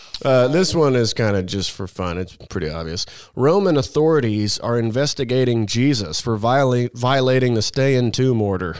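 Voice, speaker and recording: With an American accent, a man speaks at a moderate pace in a medium pitch, with lively intonation, hardly any pauses, and an unremarkable speaking voice. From Missouri, US Midwest. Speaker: political podcast panelist. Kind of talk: casual panel chat.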